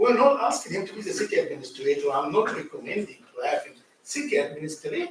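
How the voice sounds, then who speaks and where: There is audible room echo as a man speaks. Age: 60s. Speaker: city official. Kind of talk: council meeting discussion.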